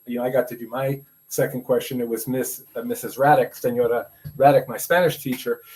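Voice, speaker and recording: A man talks with an American accent at a medium pitch. His voice is somewhat breathy and his pace fairly quick. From New York City (Brooklyn). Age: 60s. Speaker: educator and podcaster. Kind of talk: interview conversation. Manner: halting, many fillers.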